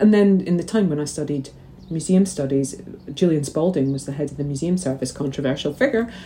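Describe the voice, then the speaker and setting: This speaker has a Scottish accent and a dark, mellow tone. The pace is fairly quick. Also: woman. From Scotland, St Andrews, Fife. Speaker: magazine editor. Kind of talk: interview. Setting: video call.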